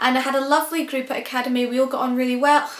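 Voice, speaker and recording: The speech is monotone and flat in a Scottish accent. Audible room echo and noticeable background noise surround it. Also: woman. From Scotland. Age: 20s. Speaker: vlogger. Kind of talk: casual chat. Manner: loud; chatty, with many fillers.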